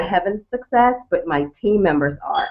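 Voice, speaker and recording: A woman at a moderate pace, with a Caribbean accent. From Turks and Caicos Islands. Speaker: network marketer. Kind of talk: panel testimony.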